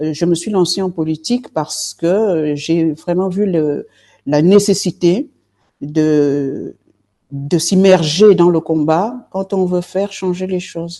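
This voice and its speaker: Very slowly, a woman speaks with a fairly low pitch, a dark, mellow tone and ordinary pitch variation. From Marseille, southern France. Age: 60s. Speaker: politician, party leader. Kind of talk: interview. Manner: hesitant, many fillers.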